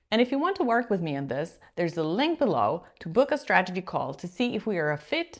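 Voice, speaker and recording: On a very clean recording with a silent background, a woman with a Polish accent talks very fast at medium pitch with very wide pitch swings. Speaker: executive presence coach. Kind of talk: coaching video monologue.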